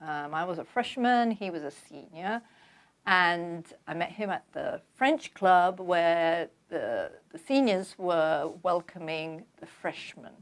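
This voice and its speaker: With a London accent, a woman speaks at a very slow pace with ordinary pitch variation. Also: fairly low pitch for a woman. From London, England. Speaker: author. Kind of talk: interview.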